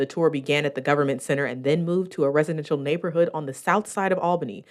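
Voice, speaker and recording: Very fast, a woman with an American accent speaks at a very deep, low pitch for a woman with ordinary pitch variation. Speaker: TV news reporter and anchor. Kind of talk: broadcast news reporter narration.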